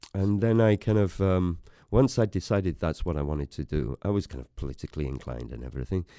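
A man with a north Welsh accent speaks in a dark, mellow tone at a fairly low pitch. His pitch swings very widely. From north Wales. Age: 50s. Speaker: photographer. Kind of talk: interview.

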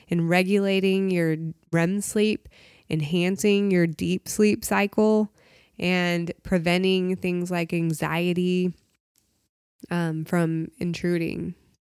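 A woman with an American accent speaks very slowly in a flat monotone at a fairly low pitch. The recording is very clean, with a silent background. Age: 30s. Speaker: CBD shop owner. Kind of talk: casual interview chat.

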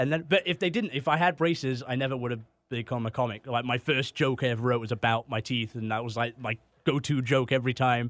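At a very fast pace, a man with a slight Canadian accent and a medium pitch talks with ordinary pitch variation in a dry, close sound with no echo. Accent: English with slight Canadian tinge. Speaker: comedian guest. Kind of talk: casual conversation. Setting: studio.

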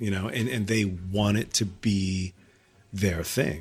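Somewhat breathy, a man speaks at a moderate pace with a fairly low pitch. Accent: American. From New Hampshire, US. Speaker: arts nonprofit director and music producer. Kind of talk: casual chat. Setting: in person, his studio space.

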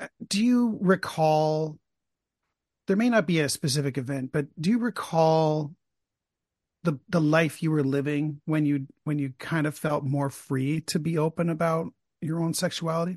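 A normal speaking voice moves at a moderate pace with ordinary pitch variation, in a dry, close sound with no echo and a quiet background. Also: man, fairly high pitch for a man. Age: 50s. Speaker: podcaster interviewing the host. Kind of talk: casual interview chat.

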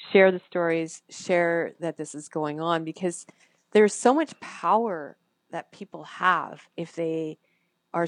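An unremarkable speaking voice with a Canadian accent moves at a fairly slow pace, showing big swings in loudness against a quiet background, the sound dry and close with no echo. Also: woman. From Canada. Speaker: former radio broadcaster, photographer and animal advocate. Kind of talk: interview.

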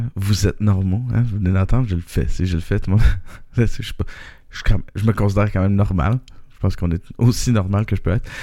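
In a Quebec accent, this voice has a dark, mellow tone, fairly even intonation and a fairly quick pace. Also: man, fairly low pitch for a man. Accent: Québécois French. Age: 30s. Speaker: podcaster. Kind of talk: personal monologue. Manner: halting.

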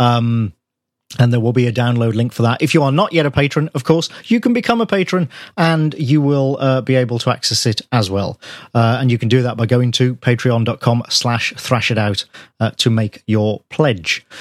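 In an unremarkable speaking voice, a man at medium pitch talks at a moderate pace with ordinary pitch variation, the sound dry and close with no echo. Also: very even loudness. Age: 40s. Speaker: podcast co-host, music reviewer. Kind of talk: casual chat.

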